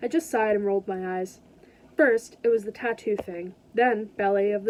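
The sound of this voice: The clip is read in an unforced reading voice.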